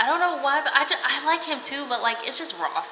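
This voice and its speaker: A woman's voice is heard with noticeable background noise and audible echo from the room. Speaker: book vlogger. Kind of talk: casual reading vlog talk to camera. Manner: fast; animated.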